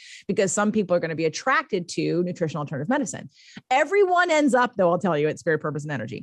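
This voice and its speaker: Against a quiet background, a woman talks very fast in an animated tone. Her pitch is fairly low, with very wide swings. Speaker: life coach and podcaster. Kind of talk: interview.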